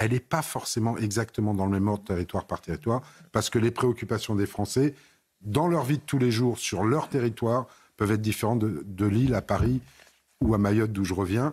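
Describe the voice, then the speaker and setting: A man uses a plain, everyday voice at a medium pitch with ordinary pitch variation and very even loudness. He speaks at a fairly quick pace on a very clean recording with a silent background. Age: 60s. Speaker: member of parliament. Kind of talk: TV panel debate.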